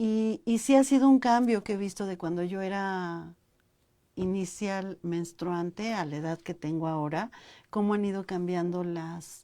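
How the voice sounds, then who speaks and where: At a fairly slow pace, a woman speaks in a medium-pitched voice with a dark, mellow tone and ordinary pitch variation against a quiet background. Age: 60s. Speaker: university talk show host. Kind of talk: interview chat. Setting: live online broadcast.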